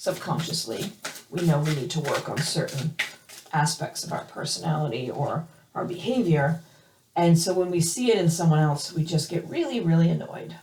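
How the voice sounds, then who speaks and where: A woman with a fairly low voice speaks at a moderate pace with ordinary pitch variation over noticeable background noise. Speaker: tarot reader. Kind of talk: tarot reading. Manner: hesitant, many fillers.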